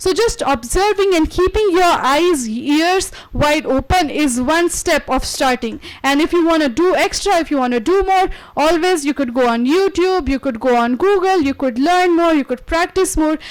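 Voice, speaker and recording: A woman speaks at a moderate pace. Her extremely high voice has lively intonation. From India, Maharashtra. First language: Marathi. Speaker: guest lecturer. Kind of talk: lecture.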